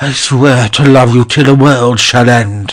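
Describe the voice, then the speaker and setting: A man's put-on character voice at a medium pitch, flat and monotone in intonation. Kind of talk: verse comedy stage acting. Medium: audio drama. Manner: blustering, hot-tempered.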